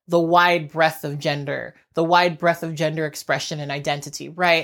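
This is a woman with a normal speaking voice and ordinary pitch variation. The recording is very clean, with a silent background. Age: 30s. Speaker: YouTuber and podcast host. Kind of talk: solo vlog monologue. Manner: conversational.

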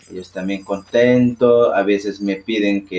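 At a very slow pace, a man talks in a fairly low pitch with monotone, flat intonation. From Ecuadorian Amazon. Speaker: boat captain. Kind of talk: interview. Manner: halting.

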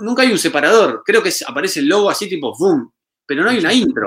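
A man talks at a fairly quick pace with very wide pitch swings. His tone is bright and sharp. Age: 30s. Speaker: musician and retro YouTuber. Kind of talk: casual chat.

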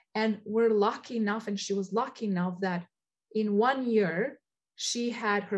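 A woman with a medium pitch talks at a fairly slow pace, her voice somewhat breathy and her intonation fairly even. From Albania. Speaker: refugee shelter director. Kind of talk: interview.

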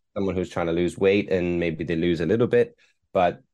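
A man with an Irish accent, fairly even intonation, and a quiet background. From Ireland. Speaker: performance mindset coach. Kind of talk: casual interview chat. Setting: remote interview from Hong Kong.

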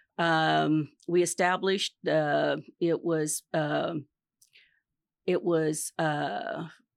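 Her voice sits at a very deep, low pitch for a woman. The recording is very clean with a silent background, and the sound is dry and close with no echo. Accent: Midwestern US. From Kansas. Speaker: retired marketing executive and nonprofit board member. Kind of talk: interview. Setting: studio.

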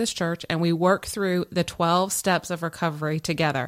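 In a very clean recording with a silent background, a woman with a normal speaking voice talks at a moderate pace in a fairly low pitch. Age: 40s. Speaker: podcast co-host. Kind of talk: casual chat. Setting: home studio.

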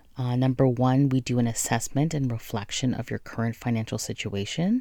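On a very clean recording with a silent background, a woman with a very deep, low pitch and a dark, mellow tone sounds upbeat, her pitch varying in an ordinary way. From Jamaican family background. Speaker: podcast host and money coach. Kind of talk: solo podcast monologue. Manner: casual, upbeat.

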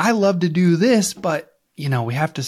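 A man with a Midwestern US accent and very wide pitch swings, in a very clean recording with a silent background. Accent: Missouri Midwestern US. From Missouri, US. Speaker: insurance coach and podcast host. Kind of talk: casual co-hosted podcast chat. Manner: casual, joking, profane.

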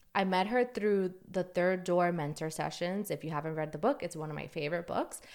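This woman has a New York accent. Her recording is very clean, with a silent background. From New York City. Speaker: podcast host. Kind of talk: solo podcast monologue.

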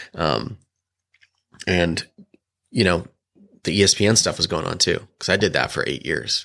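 A bright, sharp voice with vocal fry and an American accent, at a moderate pace with long, frequent pauses. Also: man, very deep, low pitch for a man, lively intonation. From Illinois, small farm town. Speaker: photographer and filmmaker. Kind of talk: casual chat.

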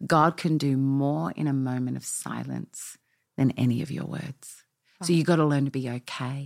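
A woman with an Australian accent at a very deep, low pitch, speaking at a moderate pace with ordinary pitch variation, on a very clean recording with a silent background. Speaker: pastor. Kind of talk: interview.

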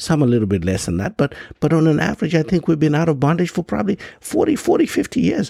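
A man speaks at a very fast pace with an African accent. His tone is animated, and the sound is dry and close with no echo. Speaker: podcast host. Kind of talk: monologue commentary.

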